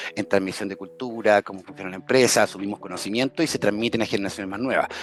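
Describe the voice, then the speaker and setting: There is a man talking very fast. Background noise is clearly present. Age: 40s. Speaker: entrepreneur. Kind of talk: interview. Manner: animated.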